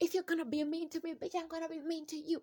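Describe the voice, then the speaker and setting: An extremely high-pitched, put-on character voice races along at a very fast pace. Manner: sassy, extra, confrontational.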